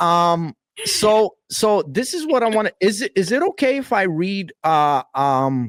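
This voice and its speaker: Speaking at a fairly slow pace with a New York accent, a man uses a high pitch that swings very widely. The sound is dry and close, without echo. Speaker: podcast host and hip hop artist. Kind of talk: casual interview chat. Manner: casual, slangy.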